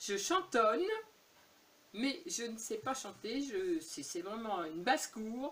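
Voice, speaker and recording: Speaking very slowly with long, frequent pauses, a woman's fairly high voice swings very widely in pitch over noticeable background noise. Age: 70s. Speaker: YouTuber. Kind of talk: casual Q&A tag video. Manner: hesitant, many fillers.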